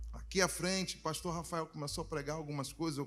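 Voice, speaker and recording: Speaking very fast in a flat monotone, a man uses a fairly high pitch. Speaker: reggae gospel singer. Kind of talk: chat between songs at church service.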